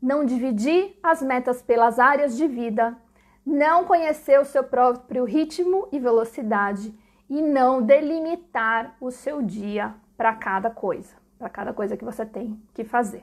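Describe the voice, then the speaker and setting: Her voice sits high, with lively intonation and big swings in loudness as she speaks at a fairly slow pace. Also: very clean recording, silent background. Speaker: online business educator. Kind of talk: live-streamed lecture. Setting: live stream. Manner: casual, chatty.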